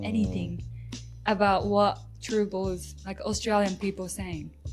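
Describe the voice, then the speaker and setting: Music plays in the background. A woman speaks with a Japanese accent. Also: fairly slow pace. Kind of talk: podcast conversation.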